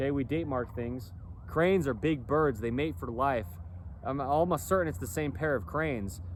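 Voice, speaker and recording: A man with a medium pitch and vocal fry talks at a moderate pace, his pitch swinging very widely, with audible room echo. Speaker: clothing company founder, vlogger. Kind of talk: casual monologue vlog. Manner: rambling, repetitive with fillers.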